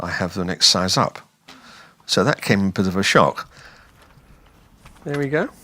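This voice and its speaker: With a southern English accent, a man speaks at a moderate pace in a very deep, low pitch. His tone is bright and sharp, and his intonation is lively. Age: 70s. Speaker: retired hearing aid user. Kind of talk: testimonial interview. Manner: hesitant with fillers.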